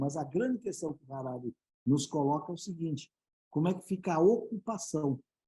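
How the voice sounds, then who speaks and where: Lively intonation runs through this man's dark, mellow tone. He speaks at a fairly quick pace. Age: 60s. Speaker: business speaker and board advisor. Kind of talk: panel interview. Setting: live web broadcast.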